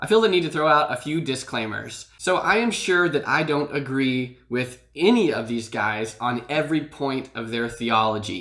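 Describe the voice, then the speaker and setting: The speaker moves at a moderate pace with lively intonation and hardly any pauses. Noticeable background noise runs underneath. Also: man, fairly high pitch for a man. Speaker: YouTube channel host and commentator on street preachers. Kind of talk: casual talk to camera.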